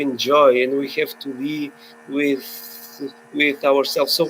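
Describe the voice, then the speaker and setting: Against music in the background, a man speaks at a very slow pace. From Portugal. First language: Portuguese. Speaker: filmmaker. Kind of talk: webinar panel discussion. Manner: halting.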